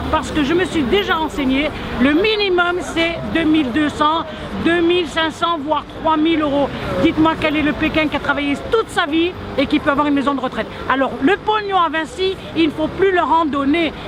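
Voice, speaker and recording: Over crowd noise and audible room echo, a woman with an extremely high pitch talks in an animated tone at a moderate pace, with ordinary pitch variation and very even loudness. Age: 70s. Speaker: protester. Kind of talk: street interview.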